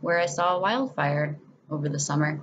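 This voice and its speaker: An American accent with ordinary pitch variation. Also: woman. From New England, western Massachusetts (Springfield). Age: 20s. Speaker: student. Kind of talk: self-introduction video.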